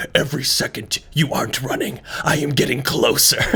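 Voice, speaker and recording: Using a put-on character voice, a man talks at a fairly quick pace in a fairly high pitch, with light background noise behind him. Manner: dramatic, menacing.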